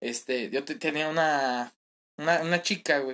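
A man in a Mexican accent at a fairly slow pace. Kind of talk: casual chat. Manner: animated.

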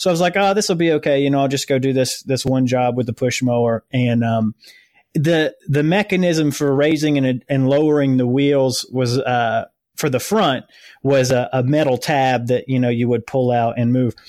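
This man has a normal speaking voice of medium pitch, ordinary pitch variation, very even loudness and a moderate pace. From US South. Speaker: lawn care business owner. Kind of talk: interview. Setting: remote call.

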